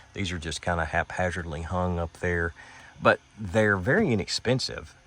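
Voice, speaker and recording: A man speaks with a Western Kentucky accent in a very clean recording with a silent background. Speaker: van camping vlogger. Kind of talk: casual tutorial vlog. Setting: inside a camper van. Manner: casual, hesitant with fillers.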